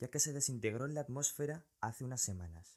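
A man's medium-pitched voice with a dark, mellow tone and ordinary pitch variation, on a very clean recording with a silent background. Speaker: science video creator. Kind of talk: scripted narration.

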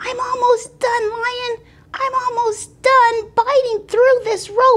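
A woman puts on a character voice with an extremely high pitch. She speaks fairly slowly in a monotone, flat intonation.

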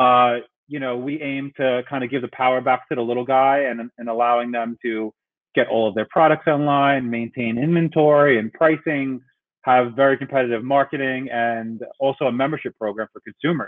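Speaking with an American accent, a man keeps a moderate pace and fairly even intonation. The background is quiet. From New York City. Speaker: tech company CEO. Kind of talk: webinar presentation. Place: home room. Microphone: video call.

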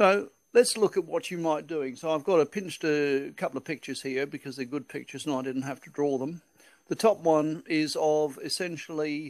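A man talks at a moderate pace against a quiet background. His pitch variation is ordinary. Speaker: presenter. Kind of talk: lecture. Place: hall.

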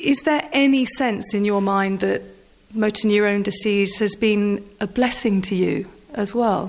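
At a fairly slow pace, a woman speaks in an ordinary speaking voice at a medium pitch, with ordinary pitch variation and very even loudness. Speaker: sports journalist. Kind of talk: interview question.

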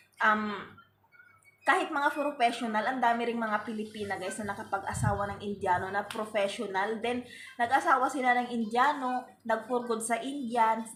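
A woman speaks at a moderate pace in a fairly high pitch with ordinary pitch variation. Noticeable background noise runs underneath. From Philippines. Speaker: vlogger. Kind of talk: casual vlog talk to camera.

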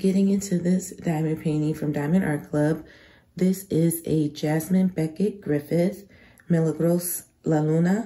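A woman's very deep, low pitch with a dark, mellow, somewhat breathy tone, fairly even intonation and a fairly slow pace. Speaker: crafting YouTuber. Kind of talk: product review vlog. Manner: casual, chatty.

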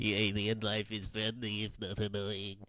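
In a put-on character voice, a man speaks at a moderate pace with fairly low pitch. His intonation stays monotone and flat. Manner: cute, friendly.

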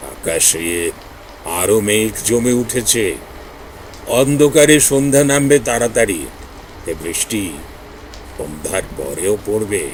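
A man's shaky, put-on character voice at a medium pitch, very slow, with very wide pitch swings and clear background noise. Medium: read story. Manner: halting, cryptic, foreboding.

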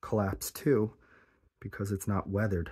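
A somewhat breathy man's voice at a moderate pace over a quiet background. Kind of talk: exploration commentary. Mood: amazed, excited. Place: tunnel cave. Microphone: phone near.

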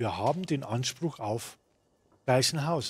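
In a Munich accent, a man speaks at a fairly slow pace with a fairly high pitch and a somewhat breathy quality. The recording is very clean, with a silent background. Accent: Bavarian, Munich dialect. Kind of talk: gaming commentary, let's play. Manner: casual, jovial.

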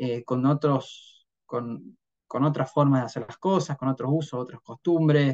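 The intonation is fairly even and the pace fairly slow. The background is quiet. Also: man. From Argentina, Río Cuarto, Córdoba. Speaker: trader, head of trading desk. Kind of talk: interview conversation. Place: home room. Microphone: video call.

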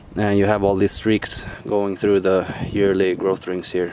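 A man at a fairly low pitch, fairly slow pace and monotone, flat intonation, in a dry sound with no echo over noticeable background noise. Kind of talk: tutorial. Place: open country. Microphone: phone near.

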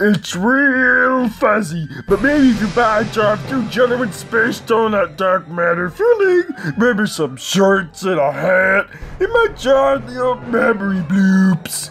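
A fairly bright put-on character voice, slow with few pauses and big pitch swings, over faint music in the background.

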